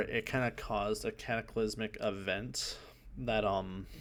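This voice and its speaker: A man is speaking. His voice has vocal fry. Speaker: gaming YouTuber. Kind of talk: video game trailer breakdown commentary. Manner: soft-spoken; hesitant, many fillers.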